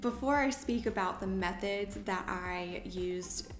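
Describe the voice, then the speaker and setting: In an American accent, a woman speaks at a medium pitch. Audible room echo and noticeable background noise surround her voice. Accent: Southern US accent, somewhat reduced. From US South. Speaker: lifestyle vlogger. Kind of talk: casual talk to camera. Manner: careful, deliberate diction.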